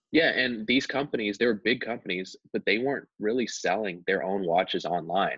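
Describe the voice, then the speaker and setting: Against a quiet background with a dry sound and no echo, a man talks at a moderate pace in a fairly low voice with ordinary pitch variation. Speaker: podcast guest. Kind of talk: interview answer. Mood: relaxed, friendly storytelling. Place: home room. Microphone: video call.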